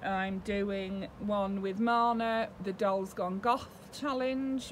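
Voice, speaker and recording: Light background noise is present. A woman speaks with fairly even intonation. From UK. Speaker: doll collector YouTuber. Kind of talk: casual vlog talk to camera. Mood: warm, chatty. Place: home room. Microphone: webcam.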